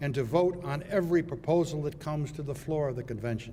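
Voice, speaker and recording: A man speaks at a moderate pace in a somewhat breathy voice with ordinary pitch variation. Audible room echo surrounds him. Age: 80s+. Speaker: retired judge and law school founder. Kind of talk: commencement speech. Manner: formal.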